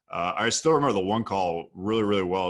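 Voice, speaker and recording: A man's fairly low voice with a Midwestern American accent and fairly even intonation. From US Midwest, Ohio (Sandusky near Cleveland). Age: 30s. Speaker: copywriter and entrepreneur. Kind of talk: podcast interview. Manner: relaxed storytelling.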